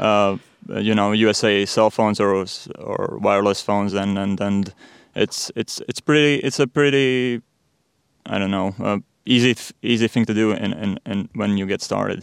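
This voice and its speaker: In a Latvian accent, a man speaks at a moderate pace with a fairly low pitch and ordinary pitch variation, in a very clean recording with a silent background and a dry, close sound with no echo. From Latvia, Riga. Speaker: sports podcaster. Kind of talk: interview. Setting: studio. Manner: halting.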